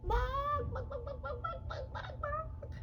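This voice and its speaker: A squeaky, put-on character voice at an extremely high pitch, fairly slow pace, with noticeable background noise. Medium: read story. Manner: excited, fussy.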